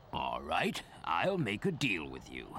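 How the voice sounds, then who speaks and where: Clear background noise sits behind a man doing a cartoonish character voice. His pitch is very deep and low, and his pace fairly slow. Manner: genial, chuckling, prone to rambling.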